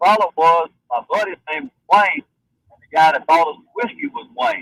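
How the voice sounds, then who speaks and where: A high-pitched man's voice with an American accent, a bright, sharp tone, very wide pitch swings, and a dry, close sound with no echo. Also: moderate pace, big swings in loudness. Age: 60s. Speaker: caller. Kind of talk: anecdote.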